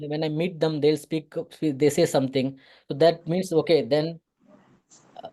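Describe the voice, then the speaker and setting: Speaking at a moderate pace with a Tamil Nadu accent, a man has a fairly high pitch, fairly even intonation and a dark, mellow tone. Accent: Tamil Indian English. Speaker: photographer and visual artist. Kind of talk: interview. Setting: online meeting. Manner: halting, many fillers and restarts.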